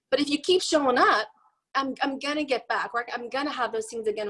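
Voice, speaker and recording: Very fast and animated, a woman speaks in a high, bright, sharp tone with lively intonation. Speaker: network marketing team leader. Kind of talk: motivational team call talk.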